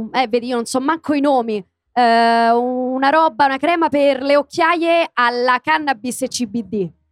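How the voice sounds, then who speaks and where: Speaking at a fairly slow pace with a Roman accent, a woman with a high voice is heard in a very clean recording with a silent background and a dry, close sound with no echo. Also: ordinary pitch variation. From Rome (Garbatella). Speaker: voice actress and comedian. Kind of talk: casual chat. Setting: stage with audience.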